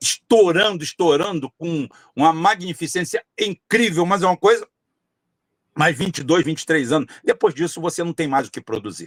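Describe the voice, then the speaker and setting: The man has a high pitch, ordinary pitch variation and a moderate pace. The recording is very clean and silent behind him, with a dry, close sound and no echo. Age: 60s. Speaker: political candidate. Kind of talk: podcast interview. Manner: repetitive, emphatic with frequent fillers.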